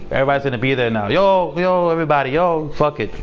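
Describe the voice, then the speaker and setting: Over noticeable background noise, a man with a fairly high pitch sounds animated, with ordinary pitch variation. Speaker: gaming streamer. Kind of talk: casual chat.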